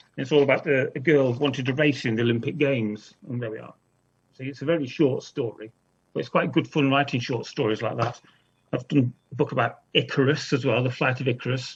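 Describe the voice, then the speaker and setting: Somewhat breathy, a man speaks at a fairly quick pace. His medium pitch shows ordinary pitch variation. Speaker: children's author. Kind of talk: author talk to school pupils. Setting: video call. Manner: fast.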